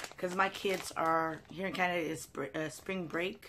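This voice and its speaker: A woman speaks in a fairly low voice against noticeable background noise. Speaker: haul vlogger. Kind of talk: casual vlog chat. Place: home room. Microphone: phone near.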